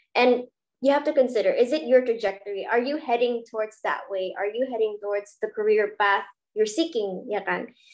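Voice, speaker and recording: The speech moves at a fairly quick pace with ordinary pitch variation against a quiet background. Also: woman, fairly high pitch for a woman. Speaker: student host of university webinar. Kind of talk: hosted online talk show. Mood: cheerful, friendly. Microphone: webcam.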